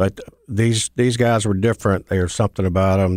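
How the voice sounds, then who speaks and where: In a very clean recording with a silent background, a man speaks at a very deep, low pitch in a Mississippi accent. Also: dry, close sound with no echo. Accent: Southern US (Mississippi). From US South (Mississippi). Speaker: mailroom supervisor and recovering alcoholic. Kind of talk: personal testimony.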